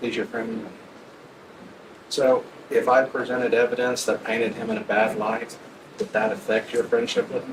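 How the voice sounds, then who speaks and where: A soft-spoken man at a moderate pace, with long, frequent pauses and noticeable background noise. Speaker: trial lawyer questioning jurors. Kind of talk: jury selection questioning. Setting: courtroom.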